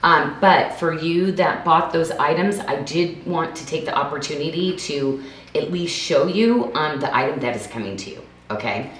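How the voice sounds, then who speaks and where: Audible room echo surrounds a woman whose voice sits at a fairly low pitch. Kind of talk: live shopping presentation. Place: home room.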